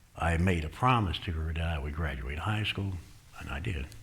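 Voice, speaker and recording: Speaking with a Southern US accent at a fairly quick pace, the voice carries lively intonation over audible room echo. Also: man. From Florida. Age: 60s. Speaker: recovering addict, ministry leader. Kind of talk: testimony. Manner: casual, conversational.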